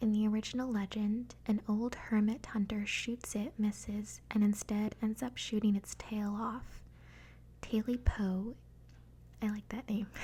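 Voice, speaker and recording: Soft-spoken and somewhat breathy, a woman talks at a fairly slow pace in a fairly high pitch, with a dark, mellow tone and monotone, flat intonation. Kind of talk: ASMR reading.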